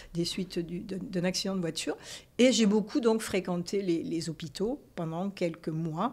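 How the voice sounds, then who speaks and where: Speaking fairly slowly, a woman keeps a medium pitch with ordinary variation. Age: 60s. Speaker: retired nurse and health journalist. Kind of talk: interview. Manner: hesitant, many fillers.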